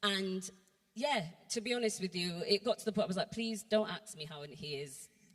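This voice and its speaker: A woman with a Bristol accent, somewhat breathy, at a medium pitch and moderate pace. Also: lively intonation, big swings in loudness. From Bristol, England. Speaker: church workshop speaker. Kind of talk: testimony.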